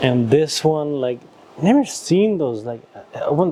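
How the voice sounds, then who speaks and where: A man with a fairly high voice talks fairly slowly while noticeable background noise plays. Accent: Nepali. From Nepal. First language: Nepali. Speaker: YouTuber. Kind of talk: casual chat. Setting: antique shop.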